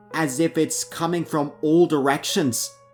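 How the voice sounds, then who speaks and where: A man speaks at a very slow pace with ordinary pitch variation. Music can be heard in the background. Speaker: horror story narrator. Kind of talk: horror story narration.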